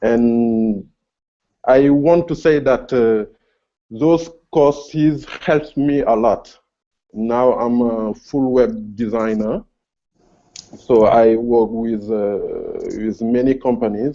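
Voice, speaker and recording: With a French accent and a dark, mellow tone, a man speaks very slowly at medium pitch, taking long, frequent pauses. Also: ordinary pitch variation. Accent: French accent, self-noted. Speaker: freelance web designer, viewer. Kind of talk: casual Q&A chat. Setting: video call. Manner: halting, many hesitations.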